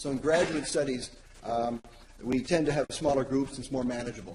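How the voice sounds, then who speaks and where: With audible room echo and noticeable background noise, a man of medium pitch talks at a fairly quick pace with ordinary pitch variation. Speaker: academic presenter. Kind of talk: conference presentation. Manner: fast.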